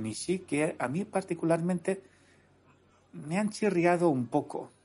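A man speaks at a fairly slow pace in a high voice with lively intonation, over a quiet background. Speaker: podcast host. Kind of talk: casual podcast monologue.

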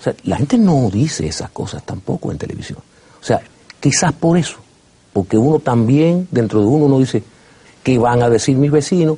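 An ordinary speaking voice with lively intonation moves at a moderate pace. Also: man, fairly high pitch for a man. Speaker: TV host. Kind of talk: TV interview. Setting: studio.

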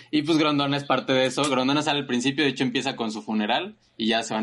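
A man talks very fast, the background quiet. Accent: Mexican. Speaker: podcast co-host. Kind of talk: casual chat.

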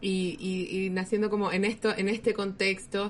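A woman with a Chilean accent at a moderate pace. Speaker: podcast host. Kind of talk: casual chat.

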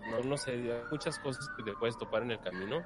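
Noticeable background noise runs under this clip. A man speaks fairly quickly at a medium pitch. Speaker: podcast co-host. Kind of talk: casual chat. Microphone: far from the mic at first.

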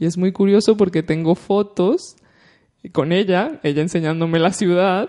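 A woman's dark, mellow voice in a Mexican accent, medium in pitch with ordinary pitch variation, at a fairly slow pace. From Mexico, León (central Mexico). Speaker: language school director. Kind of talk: interview.

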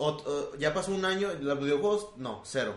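A man at a fairly slow pace with ordinary pitch variation, amid noticeable background noise and audible room echo. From Monterrey, Mexico. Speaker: video game podcast co-host. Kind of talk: casual chat.

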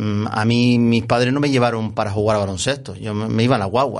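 A man speaks at a medium pitch with monotone, flat intonation. Room echo is audible. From Canary Islands, Gran Canaria. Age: 60s. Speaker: former basketball referee and professor. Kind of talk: interview.

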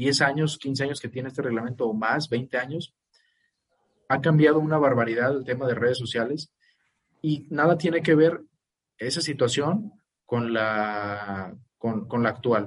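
Taking long, frequent pauses, a man speaks at a fairly slow pace with a medium pitch and ordinary pitch variation. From Mexico, Guadalajara. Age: 20s. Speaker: lawyer. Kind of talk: interview. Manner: halting, many fillers.

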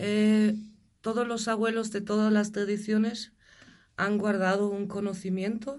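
At a very slow pace, a woman speaks with medium pitch. Audible room echo is present. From Germany. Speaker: energy healer. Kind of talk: interview.

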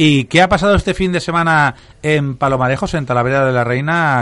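This man has an ordinary speaking voice. He speaks at a moderate pace with a fairly high pitch. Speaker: radio host. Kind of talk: casual chat. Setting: studio.

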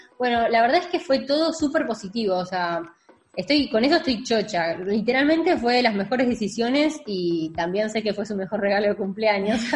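A somewhat breathy woman in a Rioplatense accent, her pitch swinging very widely. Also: fairly high pitch for a woman, fairly quick pace. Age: 20s. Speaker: digital marketing agency owner. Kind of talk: interview.

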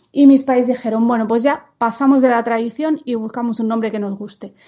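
Fairly high-pitched and fairly quick, a woman talks in an ordinary speaking voice with fairly even intonation. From Spain, Menorca. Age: 40s. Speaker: podcast co-host, homeschooling mother. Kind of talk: casual chat.

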